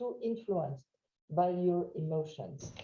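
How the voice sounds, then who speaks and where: A woman with a French accent speaks with lively intonation and a dark, mellow tone, with audible room echo. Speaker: trainer. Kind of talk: webinar lecture. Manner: loud.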